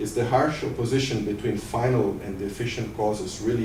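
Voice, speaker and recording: A man speaks at a fairly quick pace in a non-native accent, his pitch fairly low. Noticeable background noise and audible room echo fill the recording. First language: not English. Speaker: professor. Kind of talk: reading aloud.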